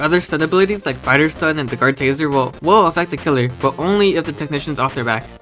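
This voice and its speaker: A man's very fast speech at a fairly high pitch with ordinary pitch variation, music in the background. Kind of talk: casual game concept commentary. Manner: casual, relaxed.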